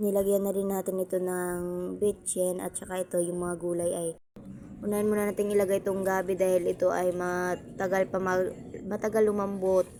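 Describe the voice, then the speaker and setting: At a fairly quick pace, a woman talks in a flat monotone with a dark, mellow tone and medium pitch. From Visayas, Philippines. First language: Cebuano/Bisaya (speaking Tagalog). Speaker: cooking vlogger. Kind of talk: cooking tutorial vlog. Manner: halting, self-correcting.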